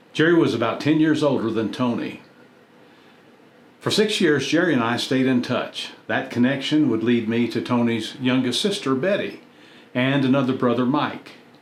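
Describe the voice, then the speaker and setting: Audible room echo carries a man's voice as he speaks at a moderate pace and a medium pitch with ordinary pitch variation. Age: 70s. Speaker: YouTube content creator. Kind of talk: personal reflective narration.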